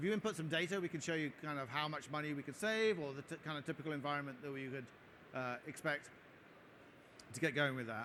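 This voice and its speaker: Talking at a very fast pace, a man with an English accent has a fairly high pitch and a bright, sharp tone. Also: ordinary pitch variation. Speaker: tech company product head giving conference talk. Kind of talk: conference talk with Q&A. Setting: stage at trade show with audience. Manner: hesitant with frequent fillers.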